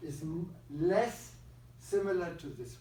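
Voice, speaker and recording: Heard with audible room echo, a man with a German accent speaks at a high pitch. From Germany. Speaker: psychiatrist and neuroscience researcher. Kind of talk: lecture.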